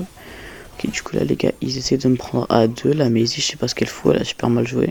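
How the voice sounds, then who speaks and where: Soft-spoken, a man talks at a fairly quick pace. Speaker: gaming youtuber. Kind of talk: gameplay commentary voiceover. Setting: home recording late at night. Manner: casual.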